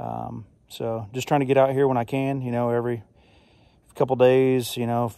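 At a moderate pace, a man speaks in a dark, mellow tone, the sound dry with no echo and the background quiet. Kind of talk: casual vlog chat. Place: open country. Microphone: phone near.

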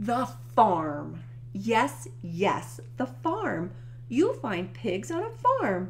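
Over clear background noise, a woman does a put-on character voice at a very slow pace with big pitch swings. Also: medium pitch for a woman.

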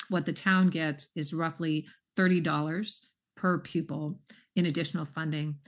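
A woman with an American accent speaks at a fairly low pitch, somewhat breathy. Her intonation is fairly even against a quiet background. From Southern California. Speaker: school superintendent. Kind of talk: public meeting discussion; meeting discussion. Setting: video call. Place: home room. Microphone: video call.

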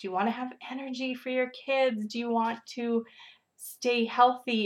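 A woman speaks with a Canadian Prairies accent, her voice pitched fairly high. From Saskatchewan, Canada. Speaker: fitness coach and pre-kindergarten teacher. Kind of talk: casual video chat. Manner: hesitant, filler-heavy.

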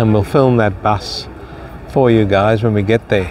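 Faint music sits in the background. Over it, a man talks with ordinary pitch variation. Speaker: travel vlogger. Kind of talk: casual vlog chat. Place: waterside. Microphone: phone near.

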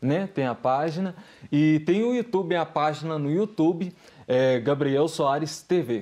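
At a fairly slow pace, a man speaks with a dark, mellow tone and ordinary pitch variation against a quiet background. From Brazil. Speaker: singer and visual artist; guest. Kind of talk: testimony. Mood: calm, earnest testimony. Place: studio.

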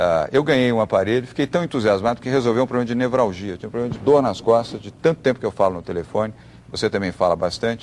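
Light background noise sits behind this recording. A man talks at a very fast pace with ordinary pitch variation. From Brazil. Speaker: TV business show host. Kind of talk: TV interview. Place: studio. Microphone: lapel.

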